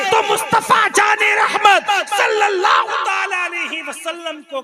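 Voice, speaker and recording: A man's raised, projected voice, extremely high in pitch, bright and sharp in tone, with lively intonation. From Pilibhit, India. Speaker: Islamic preacher (maulana). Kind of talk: religious sermon at a public gathering. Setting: outdoor or hall gathering, night-time religious event.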